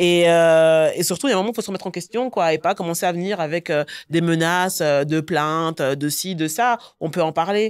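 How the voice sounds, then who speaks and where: Over a quiet background, a woman speaks at a fairly quick pace in a fairly low pitch with ordinary pitch variation. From Brussels, Belgium. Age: 30s. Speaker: entrepreneur, platform founder; guest. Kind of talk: interview. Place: studio. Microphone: studio mic.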